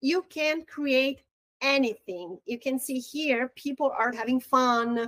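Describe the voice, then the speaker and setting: A woman's high voice with a Brazilian accent, fairly slow, with ordinary pitch variation and a dry, close sound with no echo. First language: Portuguese. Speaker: real estate marketing trainer. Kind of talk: online training webinar. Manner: halting, with repetitions.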